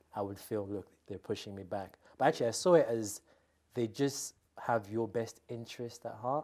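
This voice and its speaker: In a normal speaking voice, a man talks at a moderate pace with a fairly low pitch and ordinary pitch variation over a quiet background. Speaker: interviewee. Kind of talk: interview answer. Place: studio. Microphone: lapel.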